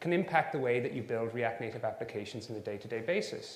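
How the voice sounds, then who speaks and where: A man talks with an Irish accent and lively intonation. The recording carries audible room echo. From Ireland. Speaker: software engineer and conference speaker. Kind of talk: conference talk.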